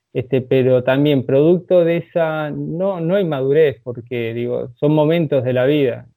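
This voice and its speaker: Male voice with ordinary pitch variation. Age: 40s. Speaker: karate instructor. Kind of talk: interview. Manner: hesitant, many filler words.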